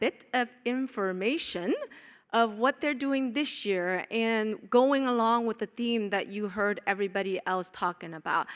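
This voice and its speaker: Woman with a non-native accent, fairly high pitch, ordinary pitch variation and moderate pace, on a very clean recording with a silent background. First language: not English. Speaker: panel chair and conference speaker. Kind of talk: conference presentation. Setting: stage with audience. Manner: casual, joking; halting, with fillers.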